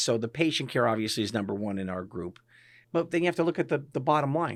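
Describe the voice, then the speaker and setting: With a northeastern Pennsylvania accent, a man speaks with lively intonation on a very clean recording with a silent background. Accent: northeastern Pennsylvania American. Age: 60s. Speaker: physician and practice owner. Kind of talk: interview conversation. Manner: casual, conversational with frequent fillers.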